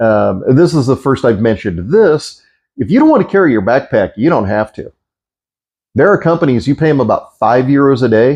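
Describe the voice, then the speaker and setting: Against a quiet background, a man speaks in a plain, everyday voice with an American accent. His pitch is medium and his pace moderate. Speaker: travel vlogger. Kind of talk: casual vlog advice.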